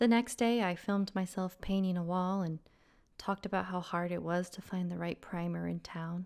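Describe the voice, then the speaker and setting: A woman speaks in a plain, everyday voice at a medium pitch. Her intonation is fairly even, and the recording is very clean with a silent background. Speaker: storyteller. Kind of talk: horror story narration. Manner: slow, atmospheric.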